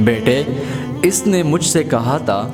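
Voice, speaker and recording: Music plays in the background as a man speaks. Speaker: narrator. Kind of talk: quote narration.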